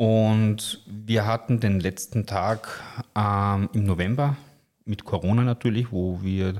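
In a very clean recording with a silent background, a man with a fairly low pitch speaks with fairly even intonation. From Lower Austria, Austria. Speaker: top chef and restaurateur. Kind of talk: interview.

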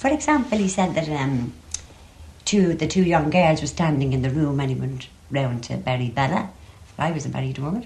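A woman with a Dublin accent speaks at a fairly quick pace with lively intonation. Her pitch is very deep and low. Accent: Dublin Irish. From Ireland, Dublin. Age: 70s. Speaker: interviewee, relative of writer. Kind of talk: interview.

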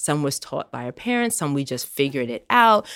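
A woman with a very deep, low pitch talks at a fairly quick pace, her pitch swinging very widely, on a very clean recording with a silent background. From Jamaican Caribbean household. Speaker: podcast host. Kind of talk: casual interview chat.

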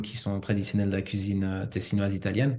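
A somewhat breathy voice at a moderate pace. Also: man. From Switzerland, father from Ticino. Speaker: home cook who lived in Japan. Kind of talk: podcast interview. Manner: hesitant, many fillers.

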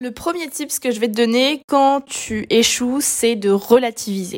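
The speech comes at a fairly slow pace, with lively intonation and an animated tone. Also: woman. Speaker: solo podcaster. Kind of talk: solo monologue podcast.

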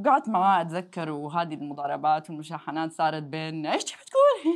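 A woman's very deep, low voice at a moderate pace, with a quiet background. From Jeddah, Saudi Arabia. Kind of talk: casual interview chat. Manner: code-switching between Arabic and English.

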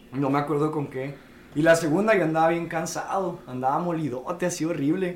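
A man's fairly high voice at a fairly quick pace, fairly even in intonation, with audible room echo and noticeable background noise. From northern Mexico, Chihuahua city. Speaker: mixed martial arts fighter. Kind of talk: casual chat.

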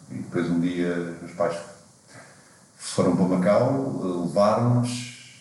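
Very slow speech with long, frequent pauses, amid noticeable background noise and audible room echo. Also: man, very deep, low pitch for a man. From Portugal, Lisbon area. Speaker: climber and guidebook author. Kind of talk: casual chat.

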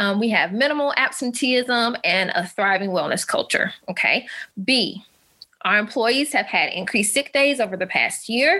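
Speaking with a Southern US accent at a moderate pace, a woman uses a fairly high pitch and lively intonation while keeping her loudness very even. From US South, Alabama. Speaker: physical therapist and wellness coach. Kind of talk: webinar presentation.

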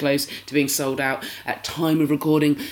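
The speaker has a British accent and a fairly quick pace. Noticeable noise runs in the background. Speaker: podcast host. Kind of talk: casual chat.

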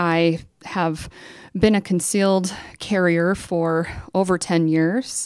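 On a very clean recording with a silent background, a woman with a fairly low pitch talks at a very slow pace with long, frequent pauses. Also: fairly even intonation. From western South Dakota, Rapid City. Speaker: state senator and candidate. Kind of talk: candidate interview.

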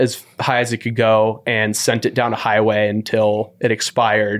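On a very clean recording with a silent background, a man with an American accent talks at a medium pitch and a moderate pace. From US West Coast, San Francisco. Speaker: running editor and podcast host. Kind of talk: casual chat. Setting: studio.

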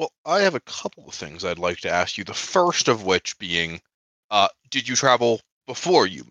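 Talking at a moderate pace with an American accent, a man with a fairly low pitch makes very wide pitch swings and big swings in loudness. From Colorado. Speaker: podcast host. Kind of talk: casual chat.

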